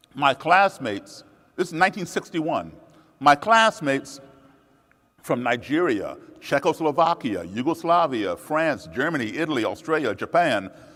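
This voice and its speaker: A man with an American accent and a fairly high pitch speaks at a moderate pace with lively intonation, a bright, sharp tone and vocal fry. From USA, raised partly abroad as embassy child. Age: 60s. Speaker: musician and speaker. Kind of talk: public talk.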